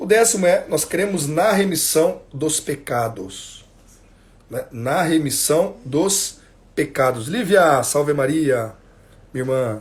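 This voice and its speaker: Lively intonation and a very slow delivery from a man pitched fairly high. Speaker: catechism teacher. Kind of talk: religious instruction livestream. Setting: Instagram livestream at home.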